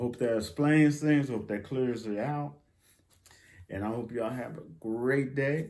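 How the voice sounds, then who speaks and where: With long, frequent pauses, a man of medium pitch talks at a fairly slow pace and ordinary pitch variation, recorded very cleanly over a silent background. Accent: American. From United States. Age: 60s. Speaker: YouTuber, benefits news commentator. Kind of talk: casual vlog commentary. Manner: animated, emphatic.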